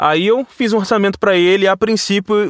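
A man talks at a moderate pace in a very clean recording with a silent background, the sound dry and close with no echo. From Vassouras, interior of Rio de Janeiro state, Brazil. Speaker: voice-over artist and radio announcer. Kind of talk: casual interview. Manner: conversational, natural delivery; halting, frequent repetitions.

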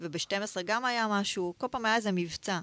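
In an ordinary speaking voice, a woman talks at a moderate pace with ordinary pitch variation. The recording is very clean, dry and close, with a silent background and no echo. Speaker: entrepreneur, former fashion designer. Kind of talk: interview, personal story.

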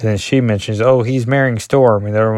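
This man has a dark, mellow tone and a medium pitch. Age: 40s. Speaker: comic book podcaster. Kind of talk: solo comic review podcast.

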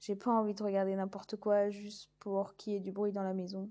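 Against a quiet background, a woman talks at a medium pitch with monotone, flat intonation. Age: 20s. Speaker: podcast host, naturopathy trainee. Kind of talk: casual monologue. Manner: hesitant, many fillers.

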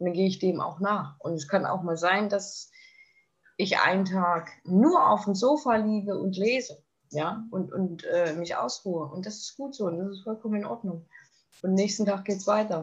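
A somewhat breathy woman at a moderate pace, with medium pitch and ordinary pitch variation. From Thuringia, eastern Germany. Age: 30s. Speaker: eating disorder survivor sharing her story. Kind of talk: interview testimony. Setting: podcast interview.

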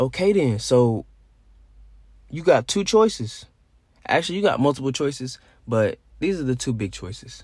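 A man with a fairly high, somewhat breathy voice speaks at a moderate pace, his pitch swinging very widely. He leaves long, frequent pauses, and the recording is very clean with a silent background. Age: 20s. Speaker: podcaster. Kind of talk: solo casual monologue.

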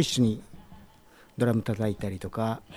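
A man speaks at a fairly slow pace. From Numazu, Shizuoka, Japan. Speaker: music bar owner. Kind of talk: casual interview chat. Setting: recorded in his bar.

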